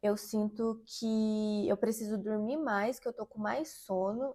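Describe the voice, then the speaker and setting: Recorded very cleanly against a silent background, a woman speaks with a fairly high pitch and a dark, mellow tone. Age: 30s. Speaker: singer and menstrual health content creator. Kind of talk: casual vlog talk to camera.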